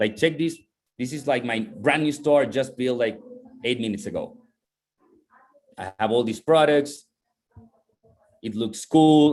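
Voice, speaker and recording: A man with a non-native accent talks at a medium pitch with ordinary pitch variation. His pace is fairly slow, and he takes long, frequent pauses. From Chile. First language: not English. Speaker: online business instructor. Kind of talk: lecture. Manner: halting.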